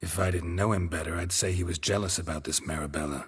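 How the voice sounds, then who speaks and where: A man growls in a put-on character voice. He speaks at a very fast pace with a very deep, low pitch. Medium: video game. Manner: terse, deadpan.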